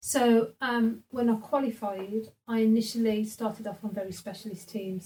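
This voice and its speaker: A woman's fairly high, somewhat breathy voice with a dark, mellow tone, monotone, flat intonation and a moderate pace. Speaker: social work team manager. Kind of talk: interview.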